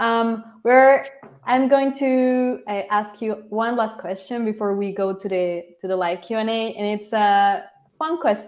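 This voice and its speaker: Here a woman speaks with a Spanish accent at a fairly high pitch. Her pace is fairly slow. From Mexico. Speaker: webinar moderator. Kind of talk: panel discussion.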